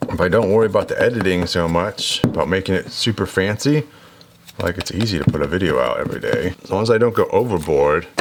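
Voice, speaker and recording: Noticeable background noise fills the clip. Over it, a man talks very fast. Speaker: DIY motorcycle vlogger. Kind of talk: casual workshop vlog monologue. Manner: hesitant, many fillers.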